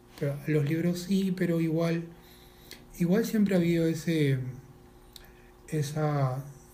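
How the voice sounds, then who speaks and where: A man talks at a moderate pace in a dark, mellow tone that is somewhat breathy. His intonation stays fairly even, and there is audible room echo. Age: 40s. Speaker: animal rights activist. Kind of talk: casual interview. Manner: halting, repeats words.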